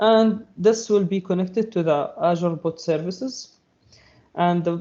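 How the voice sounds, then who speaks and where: Ordinary pitch variation runs through a voice whose tone is dark and mellow. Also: man. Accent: Arabic. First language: Arabic. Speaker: cloud technology presenter. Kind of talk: technical webinar presentation. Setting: live online stream. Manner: halting, many fillers and repeats.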